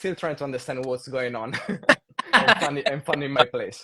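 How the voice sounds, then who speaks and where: This man speaks with an Italian accent. His pitch sits in the medium range. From Italy. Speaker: saxophonist. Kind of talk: casual chat.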